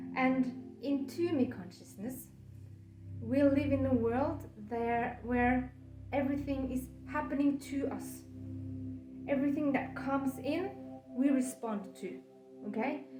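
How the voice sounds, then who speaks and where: Music plays behind a woman who leaves long, frequent pauses, with audible echo in the room. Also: fairly slow pace. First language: Norwegian. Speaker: coach. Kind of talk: lecture. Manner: stutter; halting.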